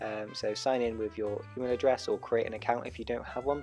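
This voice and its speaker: Music plays in the background as a man with a medium-pitched voice speaks fairly quickly, his pitch varying in an ordinary way. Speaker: first-time drone owner. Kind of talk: tutorial voiceover.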